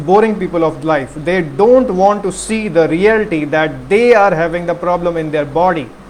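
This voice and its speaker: Over noticeable background noise, a man with a high voice speaks at a moderate pace. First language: not English (unnamed mother tongue). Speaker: health talk presenter. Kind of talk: monologue talk. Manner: halting.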